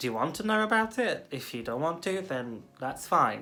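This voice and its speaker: A bright, sharp tone comes through at a moderate pace with audible room echo. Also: woman. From Portugal. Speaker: video blogger. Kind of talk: personal video blog.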